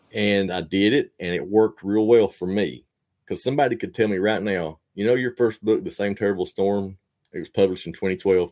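With an Appalachian accent, a man speaks at a fairly quick pace and fairly low pitch, with ordinary pitch variation, on a very clean recording with a silent background. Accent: Appalachian Southern US. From Eastern Kentucky. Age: 40s. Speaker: fiction writer and poet. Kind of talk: casual interview.

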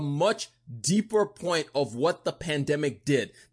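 Against a quiet background, a man speaks with an American accent. His tone is animated and his intonation lively. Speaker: podcast host. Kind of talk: solo podcast monologue, casual news commentary. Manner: casual, conversational, animated.

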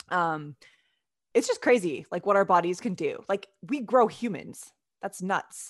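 A woman speaks at a fairly slow pace and a medium pitch with lively intonation. She has an ordinary speaking voice. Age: 30s. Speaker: physical therapy student and athletic trainer. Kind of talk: casual interview. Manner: many fillers like um and like.

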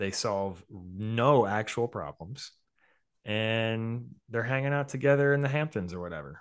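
Against a quiet background, a man has a normal speaking voice at medium pitch. His intonation is lively and his pace moderate. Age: 30s. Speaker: investment writer. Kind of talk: casual chat.

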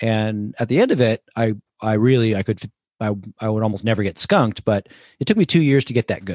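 A man with an American accent and a normal speaking voice talks at a medium pitch and a fairly quick pace, the sound dry and close with no echo. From US Northeast, New Jersey. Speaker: cookbook author and hunter-angler. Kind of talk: casual interview.

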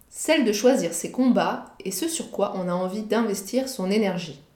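Audible room echo surrounds a woman speaking at a medium pitch with lively intonation. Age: 30s. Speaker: podcast host and freelance content strategist. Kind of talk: solo monologue podcast.

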